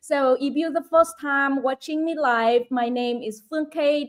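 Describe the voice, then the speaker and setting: With a Vietnamese accent, a woman talks at a fairly slow pace in a high pitch with ordinary pitch variation. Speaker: online business coach. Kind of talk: live stream chat.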